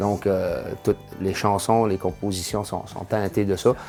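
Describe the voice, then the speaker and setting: A man speaks with a North Shore Quebec accent at a fairly low pitch. Music plays in the background. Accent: Quebec French, North Shore (Cayen). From Havre-Saint-Pierre, Côte-Nord, Quebec. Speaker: singer-songwriter. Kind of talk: interview answer. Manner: hesitant, casual.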